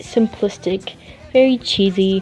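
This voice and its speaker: Quietly, a woman at medium pitch speaks at a fairly slow pace with ordinary pitch variation over background music. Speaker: gaming let's play commentator. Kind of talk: gameplay commentary outro. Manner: hushed, quiet.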